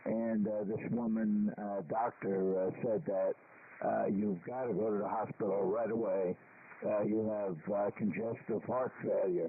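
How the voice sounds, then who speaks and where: Over noticeable background noise, a man with an American accent speaks fairly slowly at a fairly low pitch, his intonation fairly even and his loudness very even. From New York. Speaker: amateur radio operator. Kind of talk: amateur radio net chat. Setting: ham radio transmission.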